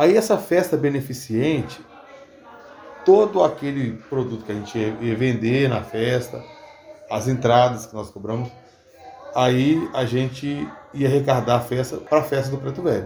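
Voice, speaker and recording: Long, frequent pauses at a fairly slow pace, with ordinary pitch variation and noticeable background noise. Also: man, medium pitch for a man. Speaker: capoeira teacher. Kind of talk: interview.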